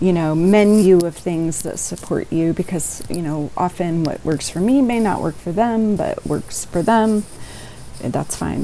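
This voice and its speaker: A woman with a fairly low pitch speaks in a calm tone with lively intonation over noticeable background noise. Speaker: therapist. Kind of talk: podcast interview.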